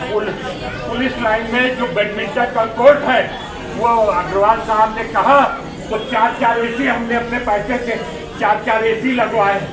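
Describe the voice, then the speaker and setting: Over noticeable background noise and audible room echo, a man talks in a flat monotone at an extremely high pitch. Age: 70s. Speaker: former politician. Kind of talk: protest statement to reporter. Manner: loud.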